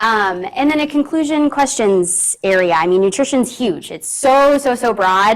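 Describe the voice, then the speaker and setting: A woman speaks loudly at a fairly slow pace with hardly any pauses. Her fairly high pitch moves in very wide swings. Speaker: registered dietitian, conference speaker. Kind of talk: presentation. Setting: conference room with audience, also on Zoom.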